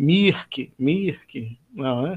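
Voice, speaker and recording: A man with an ordinary speaking voice talks at a fairly high pitch. His intonation is lively. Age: 40s. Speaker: church elder and biology teacher. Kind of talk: Bible study discussion.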